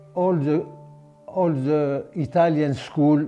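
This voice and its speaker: Ordinary pitch variation runs through the voice while music plays in the background. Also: man. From Sudan. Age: 80s+. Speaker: oral history interviewee. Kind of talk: life story interview. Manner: halting.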